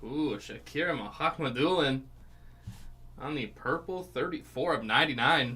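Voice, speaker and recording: The voice is loud with a bright, sharp tone, moving at a moderate pace with ordinary pitch variation. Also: man, fairly high pitch for a man. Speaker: card break host. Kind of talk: live card break commentary. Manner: loud, projecting; animated.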